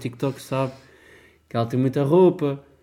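A man speaks at a fairly quick pace with a European Portuguese accent. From Portugal, Porto Alto (Ribatejo). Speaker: podcast co-host. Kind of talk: casual chat.

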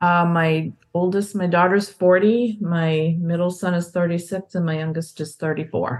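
A woman with a plain, everyday voice, fairly low pitch, fairly even intonation, a moderate pace and hardly any pauses. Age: 60s. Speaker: counseling guest. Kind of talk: personal testimony in counseling session.

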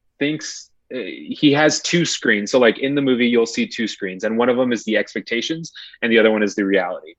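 Against a quiet background, a man talks in a plain, everyday voice at a medium pitch. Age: 20s. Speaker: podcast guest. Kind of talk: casual chat. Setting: home recording in a closet.

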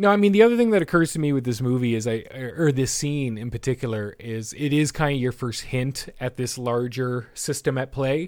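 On a very clean recording with a silent background, a man with an unremarkable speaking voice and a Canadian accent talks at a fairly quick pace with hardly any pauses, medium pitch, and ordinary pitch variation. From Canada. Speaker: podcast host. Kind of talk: casual chat; scene description.

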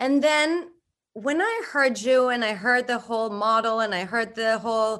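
The background is quiet. A woman speaks fairly slowly, with ordinary pitch variation. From Mexico. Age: 40s. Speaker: ADHD coach. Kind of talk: interview.

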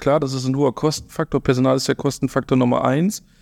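In a very clean recording with a silent background and a dry, close sound with no echo, a man speaks fairly quickly in an ordinary speaking voice, his medium pitch carrying fairly even intonation. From Germany, Rhineland (Eschweiler near Aachen). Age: 30s. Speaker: intensive care nursing manager. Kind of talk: casual chat. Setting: studio.

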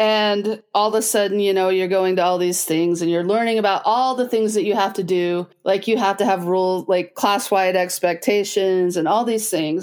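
An ordinary speaking voice with an American accent moves at a moderate pace and fairly even intonation. The recording is very clean, with a silent background. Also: woman. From Utah, US (Logan). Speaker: special education director. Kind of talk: casual interview.

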